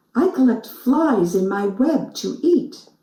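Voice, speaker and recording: A growling put-on character voice, fairly high in pitch and fairly slow in pace, with a slight echo. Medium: read story.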